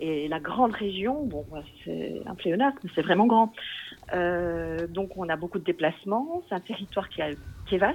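This woman has a medium pitch and lively intonation. Her pace is moderate. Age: 40s. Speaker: local politician and schoolteacher. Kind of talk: interview. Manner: hesitant, with fillers and repetitions.

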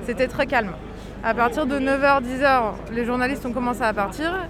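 Amid crowd noise and audible room echo, a woman with a high pitch talks at a moderate pace, her intonation fairly even. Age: 30s. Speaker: freelance photojournalist. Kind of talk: interview.

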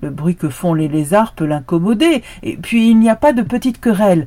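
With a dark, mellow tone and a somewhat breathy quality, a woman speaks at a moderate pace with lively intonation. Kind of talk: folktale storytelling, scripted narration of a fable with a moral. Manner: solemn, proverb-like delivery in the opening moral.

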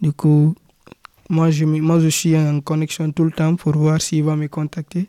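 A man with a fairly high pitch and a dark, mellow tone speaks in a monotone, flat way at a very slow pace with long, frequent pauses, in a dry, close sound with no echo. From Guinea-Conakry, West Africa. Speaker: young migrant. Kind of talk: testimony.

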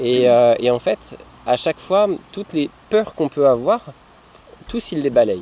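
At a fairly slow pace, a man with a fairly high pitch uses very wide pitch swings and takes long, frequent pauses. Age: 30s. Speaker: nomadic family father, traveller. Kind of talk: casual interview. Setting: outdoors by a river. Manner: halting, many repetitions.

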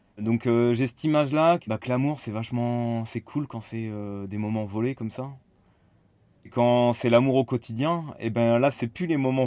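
With a dark, mellow tone, a man at a medium pitch speaks with fairly even intonation. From France, Nantes. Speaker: interviewee. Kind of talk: personal reflection. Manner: halting.

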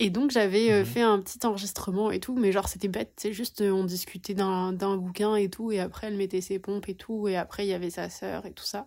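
A woman with an unremarkable speaking voice, medium pitch, fairly even intonation, a fairly quick pace and hardly any pauses. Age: 20s. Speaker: podcast co-host, sociology master's student. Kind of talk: casual chat.

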